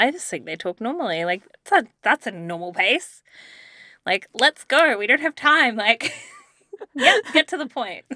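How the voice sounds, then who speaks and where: Raising and projecting her voice, a woman with an Australian accent speaks at a moderate pace in a bright, sharp tone, with very wide pitch swings, big swings in loudness and long, frequent pauses, in a dry, close sound with no echo. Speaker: podcast co-host. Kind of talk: casual chat.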